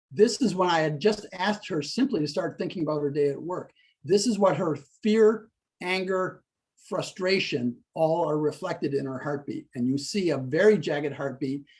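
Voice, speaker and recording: An ordinary speaking voice: male, pitched fairly high, moderately paced, pitch varying in an ordinary way. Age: 60s. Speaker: stress-reduction coach. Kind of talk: interview explaining a technique.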